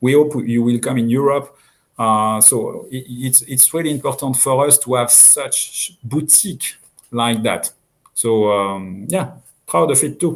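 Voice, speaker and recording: With a French accent, a man speaks at a medium pitch and a fairly slow pace. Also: ordinary pitch variation, very clean recording, silent background. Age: 50s. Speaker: watch brand owner. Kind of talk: interview. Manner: halting.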